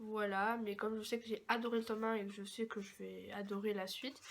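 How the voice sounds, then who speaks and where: A woman's fairly high voice at a moderate pace, monotone and flat in intonation. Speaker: book vlogger. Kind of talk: casual chat. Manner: hesitant, many fillers.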